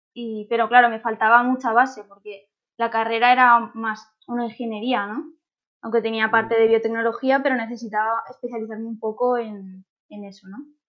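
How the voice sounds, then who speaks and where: The delivery is monotone and flat at a moderate pace. Loudness swings a lot. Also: woman, fairly high pitch for a woman. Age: 20s. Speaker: doctoral researcher in plant science. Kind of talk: interview. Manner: hesitant, many fillers.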